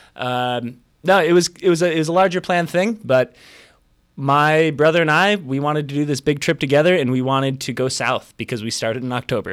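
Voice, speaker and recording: In a very clean recording with a silent background, a man with an American accent and a normal speaking voice talks at a fairly quick pace and fairly high pitch, with ordinary pitch variation. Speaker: traveler and English teacher. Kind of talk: casual interview.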